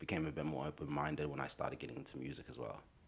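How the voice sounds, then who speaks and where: This is a man's voice. It has vocal fry. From Australia (Braybrook, Melbourne), Somali family. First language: Somali. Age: 30s. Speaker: rapper. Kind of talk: casual interview chat.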